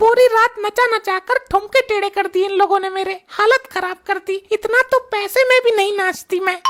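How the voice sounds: Recorded dry and close with no echo, this is a cartoonish character voice. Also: woman, extremely high pitch for a woman, moderate pace, hardly any pauses.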